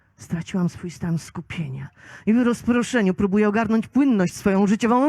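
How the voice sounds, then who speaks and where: A woman speaks at a medium pitch, her voice somewhat breathy. The sound is dry and close, with no echo. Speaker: slam poet. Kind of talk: poetry slam performance. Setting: live outdoor event.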